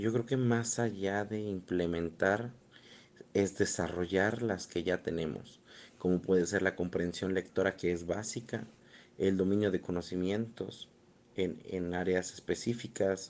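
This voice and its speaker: Intonation stays fairly even throughout. The delivery is at a fairly slow pace. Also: man, very deep, low pitch for a man. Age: 30s. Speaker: educational psychologist. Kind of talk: interview answers. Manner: halting, many repetitions.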